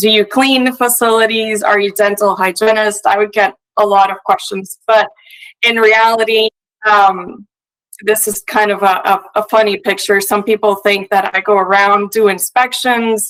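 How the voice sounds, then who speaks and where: The voice has a Puerto Rican accent and a moderate pace. Intonation stays monotone and flat. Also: woman, medium pitch for a woman. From Puerto Rico. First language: Spanish. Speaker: industrial hygienist. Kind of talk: conference presentation. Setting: remote video link to live event. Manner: frequent filler hesitations.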